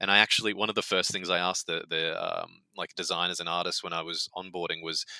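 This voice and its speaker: A man's very deep, low voice with an Australian accent, very fast and monotone, bright and sharp in tone, in a dry, close sound with no echo. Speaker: video game executive producer. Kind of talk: casual interview chat.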